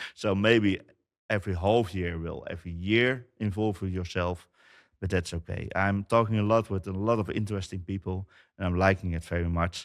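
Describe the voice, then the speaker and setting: In a very clean recording with a silent background, a man with a Dutch accent speaks at a very deep, low pitch. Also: fairly even intonation, moderate pace. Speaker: company founder, IT business owner. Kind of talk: interview. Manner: halting.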